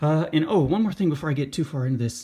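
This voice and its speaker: A man talks very fast, his voice somewhat breathy. His intonation is lively, and the background is quiet. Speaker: sports card and baseball prospect YouTuber. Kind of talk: casual talking-head commentary.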